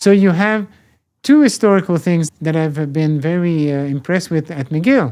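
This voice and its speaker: A man with a French accent speaks in a high, dark, mellow voice with ordinary pitch variation. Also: moderate pace, very clean recording, silent background. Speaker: professor emeritus. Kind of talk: interview. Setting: podcast interview. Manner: halting.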